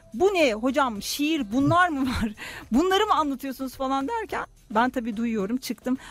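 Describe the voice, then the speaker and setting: Through noticeable background noise, a woman's high-pitched voice comes across animated, with lively intonation at a moderate pace. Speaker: radio host and astrologer. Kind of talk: casual chat. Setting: studio.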